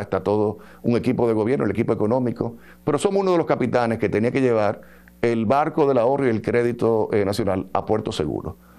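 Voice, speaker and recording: Very fast and lively in intonation, a man speaks with a dark, mellow tone. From Dominican Republic. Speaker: government official, bank regulator. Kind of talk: interview. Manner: hesitant, many fillers. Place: studio. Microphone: lapel.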